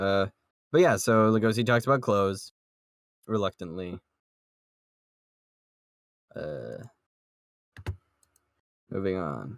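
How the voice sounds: A man speaks slowly at a low pitch with vocal fry, taking long, frequent pauses, in a dry, close sound with no echo. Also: ordinary pitch variation.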